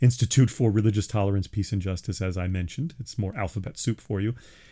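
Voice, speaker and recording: On a very clean recording with a silent background, a man with a New York accent talks at a fairly quick pace in a fairly low, dark and mellow voice with ordinary pitch variation. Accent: New York area American. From US Northeast, Long Island, New York. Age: 50s. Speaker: college professor of religious studies, podcast host. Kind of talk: solo monologue podcast. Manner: hesitant, many fillers and restarts.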